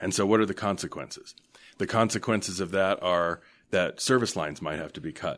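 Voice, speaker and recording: Heard on a very clean recording with a silent background, a man with an American accent has an unremarkable speaking voice and a fairly low pitch. He moves at a fairly quick pace with ordinary pitch variation. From US West, Denver, Colorado. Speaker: hospital association executive. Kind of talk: interview.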